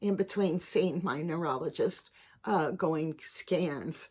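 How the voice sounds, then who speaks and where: A woman speaks at a very slow pace in a medium pitch. Her pitch variation is ordinary. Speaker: vlogger with Parkinson's disease. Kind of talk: personal vlog monologue. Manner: halting, with struggle; hesitant with fillers and repeats.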